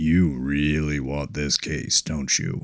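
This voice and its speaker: A man speaks very slowly in a put-on character voice, very deep and low in pitch, with a monotone, flat intonation. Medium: read story. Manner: terse, authoritative.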